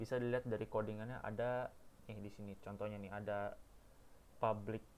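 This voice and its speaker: Delivered in a monotone, flat intonation, the talking proceeds at a moderate pace. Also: man. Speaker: university student. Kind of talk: tutorial. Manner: halting. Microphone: too quiet, mic problem.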